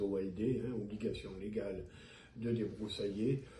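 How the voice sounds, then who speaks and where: His pitch sits fairly low for a man. The voice belongs to a man. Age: 70s. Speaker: mayor and physician. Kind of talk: interview answer.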